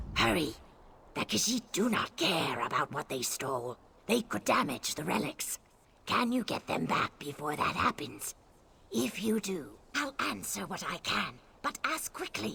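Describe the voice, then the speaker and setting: A man uses a put-on character voice at a fairly high pitch. His pace is moderate. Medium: video game. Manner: bitter, urgent.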